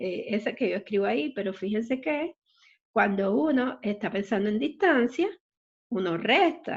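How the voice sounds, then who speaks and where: A woman speaks at a fairly slow pace in a fairly high pitch. Her voice is somewhat breathy, with very wide pitch swings. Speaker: math teacher. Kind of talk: online math lecture.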